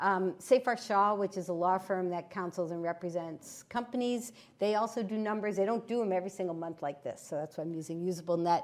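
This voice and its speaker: A woman's plain, everyday voice, medium in pitch with ordinary pitch variation, at a fairly quick pace with hardly any pauses. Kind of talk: presentation with slides.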